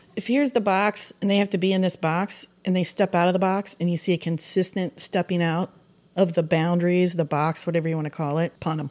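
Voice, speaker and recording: In a very clean recording with a silent background, a normal speaking voice moves at a fairly quick pace with fairly even intonation. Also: woman, fairly low pitch for a woman. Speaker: divorced woman dating online. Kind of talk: casual chat.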